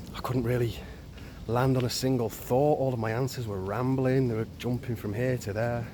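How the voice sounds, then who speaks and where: Against noticeable background noise, a man talks in a flat monotone at a medium pitch. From West Yorkshire, England. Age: 40s. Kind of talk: casual personal vlog talk. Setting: outdoors.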